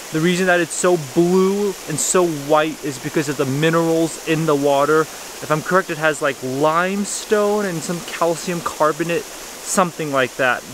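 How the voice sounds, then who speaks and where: Over noticeable background noise, a man talks at a moderate pace with fairly even intonation and hardly any pauses. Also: dry sound with no echo. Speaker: travel vlogger. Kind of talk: casual vlog chat. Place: waterside. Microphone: phone near.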